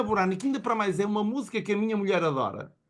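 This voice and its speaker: A man speaks in an animated tone at a high pitch. The background is quiet. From Portugal. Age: 60s. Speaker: motivational speaker. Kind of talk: motivational talk.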